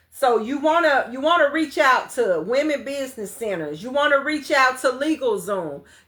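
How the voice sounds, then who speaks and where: A woman talks with a high pitch and a bright, sharp tone, animated and with lively intonation. She keeps a moderate pace with hardly any pauses. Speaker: business coach. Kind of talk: livestream class. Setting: livestream.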